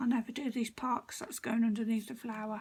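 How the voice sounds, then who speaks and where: With a British accent, a woman speaks at a fairly quick pace in a high pitch. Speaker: card-making crafter. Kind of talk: crafting tutorial. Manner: casual, chatty.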